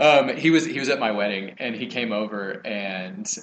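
A man with an American accent speaks at a fairly low pitch. His pitch varies in an ordinary way, and there is noticeable background noise. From Texas, College Station area. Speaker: former athlete and TV writer-producer. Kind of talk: casual interview chat.

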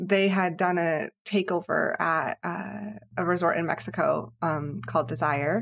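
At a very slow pace, the voice shows vocal fry and very wide pitch swings. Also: woman. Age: 30s. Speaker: podcast co-host guest. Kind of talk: casual chat.

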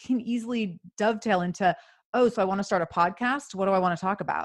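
A woman speaks fairly quickly with an American accent and ordinary pitch variation. It is a plain, everyday voice. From US Pacific Northwest, Seattle. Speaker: podcaster and coach for mothers. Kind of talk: casual interview.

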